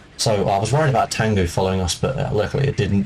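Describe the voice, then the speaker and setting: A man talks at a very fast pace with a fairly low pitch. Noticeable background noise is present. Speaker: gaming speedrunner. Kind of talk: gameplay commentary tutorial. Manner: hesitant, many fillers.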